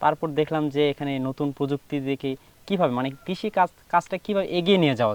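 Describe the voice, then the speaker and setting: This is a man with an unremarkable speaking voice, fairly high for a man, with ordinary pitch variation. The sound is dry and close, with no echo. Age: 20s. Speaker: student farmer. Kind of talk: interview.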